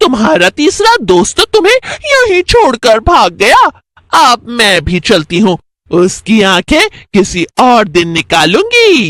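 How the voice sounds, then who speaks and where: It's a cartoonish character voice pitched fairly high. The pace is very slow. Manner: cackling, taunting.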